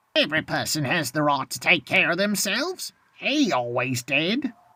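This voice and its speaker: A put-on character voice at a middle pitch moves at a moderate pace with very wide pitch swings. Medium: read story. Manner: bold, coarse and scornful.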